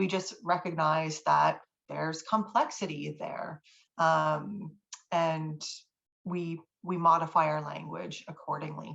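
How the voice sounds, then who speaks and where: Her pitch fairly low, a woman speaks at a fairly slow pace with vocal fry and ordinary pitch variation. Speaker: university writing instructor. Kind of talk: lecture. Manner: halting, many fillers.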